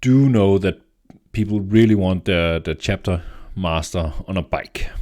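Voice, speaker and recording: A man with a Danish accent and a very deep, low pitch, at a moderate pace with ordinary pitch variation, on a very clean recording with a silent background. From Denmark. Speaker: tabletop gaming YouTuber. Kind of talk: casual commentary. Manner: halting, many fillers and repeats.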